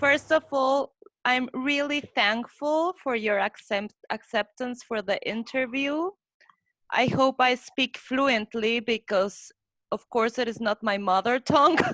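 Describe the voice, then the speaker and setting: Speaking with a Spanish accent, a woman uses a high pitch with ordinary pitch variation at a fairly slow pace, in a dry, close sound with no echo. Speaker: interviewer. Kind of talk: interview.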